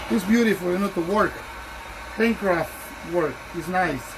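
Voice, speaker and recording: A strong Honduran accent at a moderate pace, with fairly even intonation and noticeable background noise. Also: man. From Honduras. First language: Spanish. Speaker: shoe shiner. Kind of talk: tutorial with casual personal talk.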